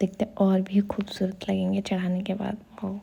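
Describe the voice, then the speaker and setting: Soft-spoken and somewhat breathy, a woman speaks at a medium pitch in a dark, mellow tone. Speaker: vlogger. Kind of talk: casual vlog commentary. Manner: soft-spoken, quiet.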